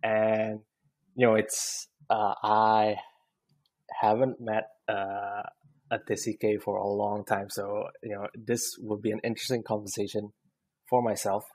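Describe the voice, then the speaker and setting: Pausing long and often, a man speaks at a fairly slow pace with an Indonesian accent, a fairly low pitch and a monotone, flat intonation on a very clean recording with a silent background. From Indonesia, partly raised abroad. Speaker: podcast host. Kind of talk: casual interview chat. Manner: halting, many fillers.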